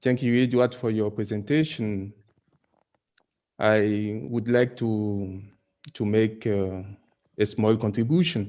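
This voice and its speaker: Speaking at a very slow pace with long, frequent pauses, a man uses a dark, mellow tone at a fairly low pitch with ordinary pitch variation. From Cameroon. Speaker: author. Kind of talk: audience question. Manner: halting.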